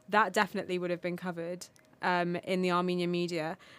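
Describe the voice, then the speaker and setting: With a British accent, a woman talks at a medium pitch. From United Kingdom. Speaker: podcast guest from the Armenian diaspora. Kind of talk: casual chat.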